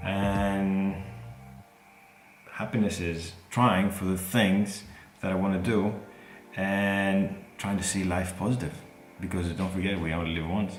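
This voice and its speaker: Music plays in the background amid audible room echo. A man speaks at a fairly slow pace and fairly low pitch. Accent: Greek. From Greece. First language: Greek. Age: 30s. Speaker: airline pilot and video creator. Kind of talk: Q&A monologue to camera. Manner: hesitant, with fillers.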